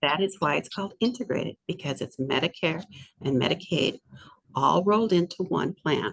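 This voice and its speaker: Her fairly low pitch comes with lively intonation, and the woman's sound is dry and close with no echo. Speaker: state program coordinator. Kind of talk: webinar presentation. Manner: fast; halting, self-correcting.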